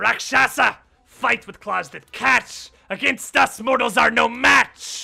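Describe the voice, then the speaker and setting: A put-on character voice with a hissing quality talks at a fairly slow pace and a fairly high pitch. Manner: menacing.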